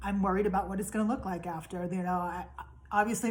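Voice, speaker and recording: A woman's voice at a medium pitch. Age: 50s. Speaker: vlogger sharing health journey. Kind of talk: personal video diary. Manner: hesitant, many fillers.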